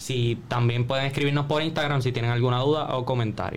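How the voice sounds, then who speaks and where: A man talks at a fairly quick pace in a medium pitch, his intonation fairly even. Room echo is audible. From Puerto Rico, Jayuya. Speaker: podcast co-host. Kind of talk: casual chat.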